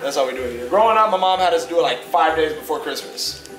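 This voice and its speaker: A man talks at a very fast pace in a high pitch. Clear music plays in the background. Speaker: vlogger. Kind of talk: casual talk to camera, vlog. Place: home room. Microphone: phone near.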